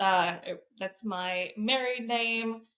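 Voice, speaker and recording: A woman speaks at a very slow pace in a bright, sharp tone. Her pitch is fairly high and her intonation fairly even. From Iran, Tehran; moved to US at nine. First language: Persian. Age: 30s. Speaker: fitness coach and competitive shooter. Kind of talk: podcast interview.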